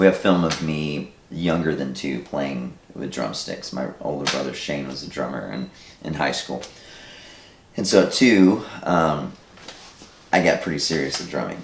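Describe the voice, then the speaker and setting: A man with a very deep, low voice speaks at a fairly slow pace with ordinary pitch variation and big swings in loudness, amid audible room echo. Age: 40s. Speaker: filmmaker. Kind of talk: interview.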